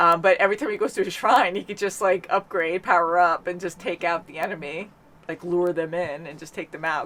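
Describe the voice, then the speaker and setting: A woman with a fairly low pitch speaks at a fairly quick pace in an animated tone. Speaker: reaction channel host. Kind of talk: casual chat. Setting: home studio. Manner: loud.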